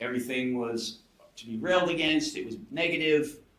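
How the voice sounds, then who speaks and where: In an American accent, a man speaks at a fairly high pitch for a man with lively intonation. His pace is moderate, and there is audible room echo. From United States. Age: 60s. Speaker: coaching client, skydiver. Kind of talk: podcast interview, personal testimony.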